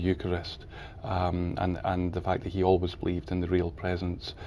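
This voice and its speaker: A man with a Scottish accent speaks at a fairly quick pace in a very deep, low voice with a dark, mellow tone. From Scotland, Highlands. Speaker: charity founder and author. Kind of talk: TV interview. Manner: halting.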